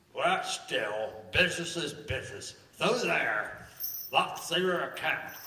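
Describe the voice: In a strong room echo, a man puts on a character voice at a fairly high pitch, bright and sharp in tone. He speaks slowly with lively intonation.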